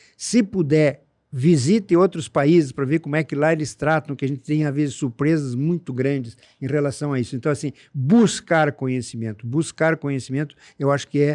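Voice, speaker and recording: Over a quiet background, a man with a fairly high, dark, mellow voice speaks at a moderate pace. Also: dry, close sound with no echo. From southern Brazil (Rio Grande do Sul). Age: 70s. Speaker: urologist. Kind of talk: interview conversation.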